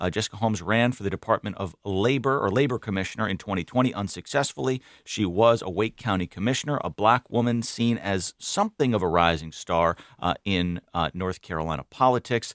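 A man with a normal speaking voice talks at a fairly low pitch and fairly quick pace with ordinary pitch variation, in a very clean, dry, close recording with a silent background and no echo. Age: 30s. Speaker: radio host. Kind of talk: radio news panel discussion.

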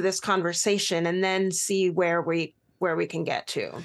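A plain, everyday voice from a woman with an American accent, medium in pitch at a fairly slow pace, over a quiet background. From Pacific Northwest US (Bellingham, Washington). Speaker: adoptee advocate and author. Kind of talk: radio interview.

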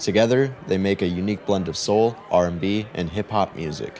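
A man with a very deep, low pitch and ordinary pitch variation, over noticeable background noise. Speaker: radio host. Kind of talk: scripted radio links between live music tracks. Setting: studio. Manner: formal, measured announcer delivery.

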